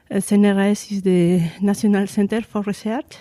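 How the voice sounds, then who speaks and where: A woman with a Spanish accent, her tone dark and mellow, in a dry, close recording with no echo. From Spain. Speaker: research engineer. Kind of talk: interview. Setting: face-to-face interview in Paris. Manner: halting, with fillers.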